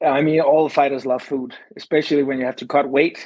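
A man with a Danish accent speaks at a fairly high pitch, the sound dry and close with no echo. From Denmark. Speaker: MMA fighter and Olympic wrestler. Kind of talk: casual interview.

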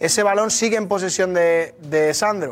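With an animated tone, a man speaks with ordinary pitch variation. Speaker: football analyst. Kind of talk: sports commentary, analyzing refereeing. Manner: fast, emphatic, repetitive.

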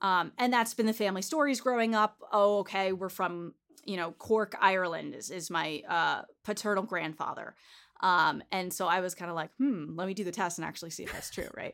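A normal speaking voice: a woman at medium pitch and a fairly quick pace, ordinary pitch variation and big swings in loudness, on a very clean recording with a silent background. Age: 20s. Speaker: genetic counselor and podcaster. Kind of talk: casual interview chat.

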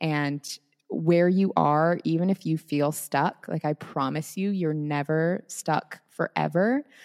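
With an American accent, a woman speaks at a very slow pace in a very deep, low voice with fairly even intonation. The recording is very clean and silent behind her, with a dry, close sound and no echo. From Seattle area, US. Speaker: wellness creator and podcaster. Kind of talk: casual interview chat.

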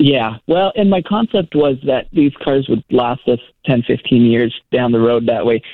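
This man has an unremarkable speaking voice at a medium pitch. He speaks fairly slowly with lively intonation and very even loudness. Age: 20s. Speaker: real estate worker, caller. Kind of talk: phone-in call. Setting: phone call.

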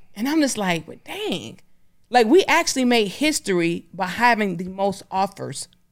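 Using an American accent, a woman with vocal fry speaks at a moderate pace and a fairly high pitch, her pitch swinging very widely and her loudness shifting a lot. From Detroit, US. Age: 30s. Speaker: entrepreneur, company founder. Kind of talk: interview conversation. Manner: animated.

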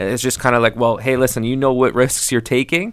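On a very clean recording with a silent background, a man with an unremarkable speaking voice talks at a fairly quick pace, keeping a medium pitch and fairly even intonation. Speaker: real estate agent and radio co-host. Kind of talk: radio show discussion.

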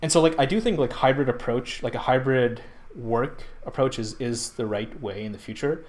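His pitch is medium and varies in an ordinary way. The man keeps a moderate pace. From Pakistan. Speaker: tech startup founder and CEO. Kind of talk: interview conversation.

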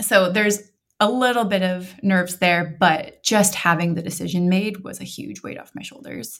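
This woman has an unremarkable speaking voice with an American accent, medium pitch and ordinary pitch variation. She speaks at a moderate pace, with big swings in loudness. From Montana, US. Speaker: bride-to-be. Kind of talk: casual chat.

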